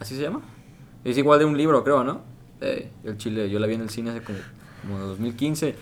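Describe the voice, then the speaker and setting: A man speaks at a medium pitch and a fairly quick pace, with ordinary pitch variation. There are long, frequent pauses, and the room echo is audible. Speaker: podcast co-host. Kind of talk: casual chat.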